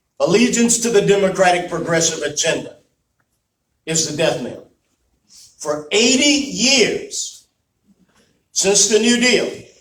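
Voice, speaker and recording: A man with a high pitch speaks in an animated tone with lively intonation. His pace is fairly slow, with long, frequent pauses and audible room echo. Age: 60s. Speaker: political speaker. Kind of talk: speech. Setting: meeting with audience.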